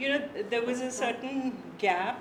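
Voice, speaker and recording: A woman's fairly slow speech amid noticeable background noise and audible room echo. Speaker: author and translator. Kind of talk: conversation.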